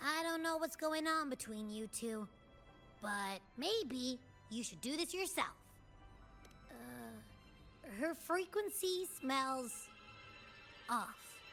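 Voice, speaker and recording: Using a put-on character voice, a female-sounding speaker talks at a very slow pace in a high pitch, with long, frequent pauses and clear music in the background. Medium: video game. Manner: casual, breezy.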